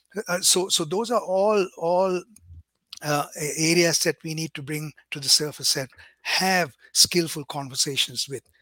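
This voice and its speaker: The man's tone is bright and sharp, at a fairly high pitch with ordinary variation. He talks at a moderate pace, and the sound is dry and close with no echo. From Sri Lanka. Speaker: diversity trainer. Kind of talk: webinar presentation. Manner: halting, many repetitions.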